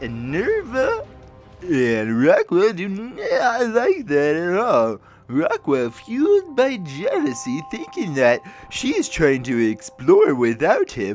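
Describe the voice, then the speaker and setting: Over clear background music, a man puts on a high-pitched character voice and speaks at a fairly slow pace. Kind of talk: game lore narration in character. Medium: read story. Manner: rambling, jokey.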